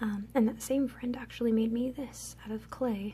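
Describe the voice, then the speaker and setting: Soft-spoken, this woman keeps her words quiet. She talks at a moderate pace. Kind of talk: ASMR show and tell, casual talk to camera.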